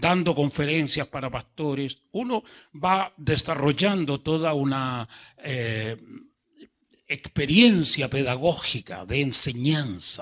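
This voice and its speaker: Lively intonation marks this man's speech. His pace is very slow. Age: 70s. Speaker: pastor. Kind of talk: sermon. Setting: church service. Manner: slow, unhurried; calm, not gesticulating.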